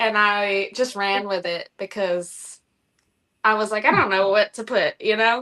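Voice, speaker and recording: Speaking at a fairly slow pace, a woman has a fairly high pitch, a bright, sharp tone and fairly even intonation. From Florida. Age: 20s. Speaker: reptile breeder. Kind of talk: casual interview.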